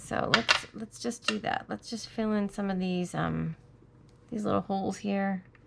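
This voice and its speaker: A woman speaks at a moderate pace against noticeable background noise. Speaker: crafting tutorial host. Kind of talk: tutorial. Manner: casual, thinking aloud.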